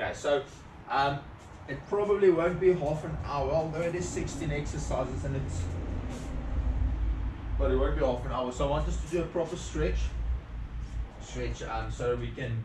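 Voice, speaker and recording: Long, frequent pauses from a man at a moderate pace, amid noticeable background noise. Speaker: fitness instructor. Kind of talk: tutorial. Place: home room. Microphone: camera far.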